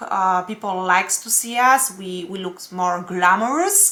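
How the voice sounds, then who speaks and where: Noticeable background noise runs under a woman's voice. She speaks at a fairly slow pace with a non-native accent. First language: not English. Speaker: astrologer and tarot reader. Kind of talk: weekly horoscope forecast. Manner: halting, many fillers.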